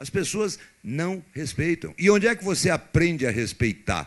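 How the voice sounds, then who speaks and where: A man's voice with vocal fry and lively intonation over a quiet background. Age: 60s. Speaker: politician. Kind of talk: public debate answer. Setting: university debate with audience.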